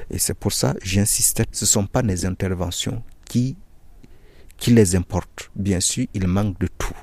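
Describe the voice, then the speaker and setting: At a very slow pace, a man talks in a fairly low, somewhat breathy voice with ordinary pitch variation. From Burkina Faso. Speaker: NGO project coordinator, agronomist. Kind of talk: interview. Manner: halting, with repetitions.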